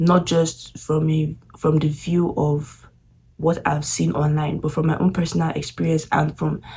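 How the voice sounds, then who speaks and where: A woman speaks with vocal fry in a very deep, low, dark and mellow voice with monotone, flat intonation. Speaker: international student vlogger. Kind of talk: casual vlog talk. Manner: halting.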